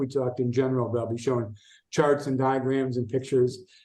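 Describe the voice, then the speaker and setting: With a normal speaking voice, a man talks at a fairly quick pace in a fairly high pitch. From US Midwest, Chicago. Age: 60s. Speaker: esoteric researcher and writer. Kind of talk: podcast interview.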